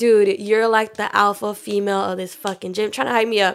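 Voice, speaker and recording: In a normal speaking voice, a woman with a medium pitch talks at a fairly quick pace. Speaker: personal trainer. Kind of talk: casual chat.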